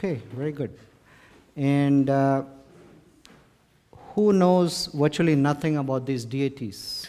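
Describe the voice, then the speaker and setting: With an Indian accent, a man talks at a fairly slow pace. His pitch is fairly high and varies in an ordinary way. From India, Mumbai. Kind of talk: lecture to live audience. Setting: stage with audience.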